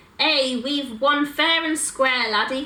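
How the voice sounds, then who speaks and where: A woman in a put-on character voice, high-pitched and fairly slow. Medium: read story. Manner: hearty, loud.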